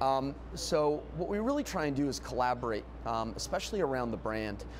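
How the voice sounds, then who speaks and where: A man with an American accent, with audible room echo. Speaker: restaurant chain executive. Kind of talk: interview. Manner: fast; loud.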